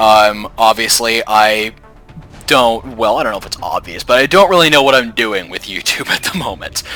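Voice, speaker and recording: A man speaks at a moderate pace with lively intonation and a medium pitch. Music plays in the background. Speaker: gaming commentator. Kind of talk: gameplay commentary. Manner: casual, rambling.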